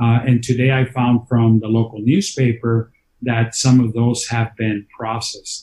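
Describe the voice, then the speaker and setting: A man speaks in a monotone with flat intonation, at a medium pitch and a fairly slow pace. His tone is dark and mellow, and somewhat breathy. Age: 50s. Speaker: county politician. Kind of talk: interview.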